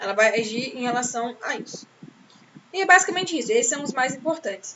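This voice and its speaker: Over noticeable background noise, a woman speaks in a high-pitched voice with an animated tone. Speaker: teacher. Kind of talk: lecture. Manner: fast.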